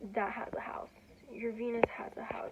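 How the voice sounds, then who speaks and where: Against noticeable background noise, a woman with a Spanish accent speaks at a moderate pace in a fairly high pitch with monotone, flat intonation. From Peru (Lima). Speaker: student vlogger. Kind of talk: casual vlog talk. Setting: dorm room. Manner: rambling with many fillers and self-corrections.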